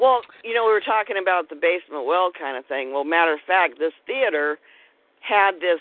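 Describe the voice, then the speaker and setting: A woman's fairly low voice, a normal speaking voice, with lively intonation and a fairly quick pace. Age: 50s. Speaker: author and paranormal investigator. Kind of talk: casual interview chat.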